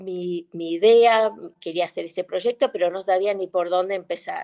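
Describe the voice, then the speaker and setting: The pace is fairly slow, with ordinary pitch variation. The sound is dry and close, with no echo. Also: woman. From Argentina, Concordia, Entre Ríos. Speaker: businesswoman and author. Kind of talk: interview. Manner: halting.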